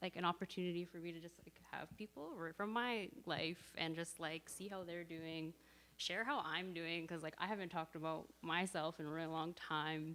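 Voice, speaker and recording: Loud, bright and sharp speech with a Canadian accent, hardly any pauses, and fairly even intonation. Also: woman, fairly low pitch for a woman, moderate pace. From Canada (Edmonton, Alberta). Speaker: church member sharing testimony. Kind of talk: casual church sharing.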